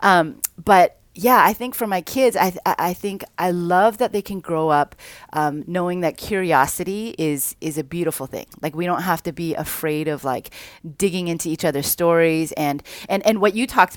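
This woman has a plain, everyday voice, fairly low in pitch with ordinary pitch variation, at a moderate pace. The recording is very clean with a silent background, and the sound is dry and close with no echo. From Vancouver, Canada. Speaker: podcast guest, speaker. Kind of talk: casual chat.

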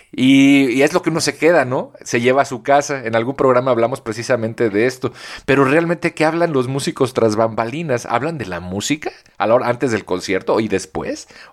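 This male voice sits at a medium pitch and has ordinary pitch variation. Everything is very clean, with a silent background behind it. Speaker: podcast co-host. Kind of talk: casual chat. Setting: early morning recording.

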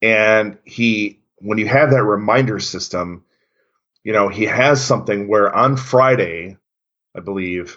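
At a fairly slow pace, a man talks in a fairly low voice with ordinary pitch variation. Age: 40s. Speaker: former college resident director. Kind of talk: casual chat. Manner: halting.

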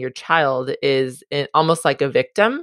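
In a Californian accent, a woman with a very deep, low pitch speaks at a very slow pace, the sound dry and close with no echo. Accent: Californian American. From Southern California. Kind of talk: interview conversation.

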